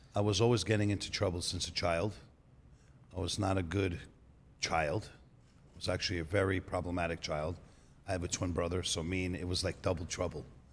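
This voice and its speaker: A man with a New York accent talks at a fairly quick pace in a very deep, low pitch. His intonation is monotone and flat, and his voice is somewhat breathy. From New York City. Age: 30s. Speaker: auto body shop owner. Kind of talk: podcast interview. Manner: casual storytelling.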